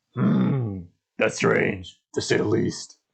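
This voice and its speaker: A man performs a raspy, put-on character voice. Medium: read story. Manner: grave, deliberate.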